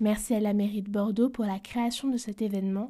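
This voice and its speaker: On a very clean recording with a silent background, a woman with a dark, mellow, somewhat breathy tone speaks at a fairly high pitch, moderate pace and fairly even intonation. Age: young. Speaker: podcast host. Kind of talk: scripted narration.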